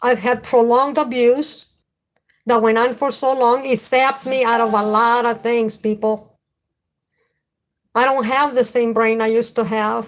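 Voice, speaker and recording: Speaking at a fairly slow pace in a strong Spanish accent, a woman with a high-pitched voice keeps her intonation monotone and flat. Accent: heavy Spanish. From Mexico. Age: 50s. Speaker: livestreamer. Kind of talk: live stream chat. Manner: halting.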